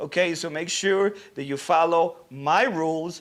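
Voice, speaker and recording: Speaking with a non-native accent at a fairly slow pace and with ordinary pitch variation, the voice comes through on a very clean recording with a silent background. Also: man. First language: not English. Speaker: social media manager and livestream host. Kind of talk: livestream Q&A hosting. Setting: livestream. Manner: casual, conversational.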